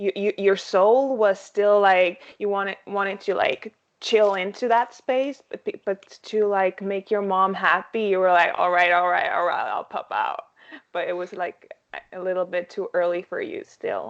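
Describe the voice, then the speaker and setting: Her pitch is medium and her pace moderate. This woman keeps a fairly even intonation. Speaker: podcast guest. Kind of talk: casual chat. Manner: halting.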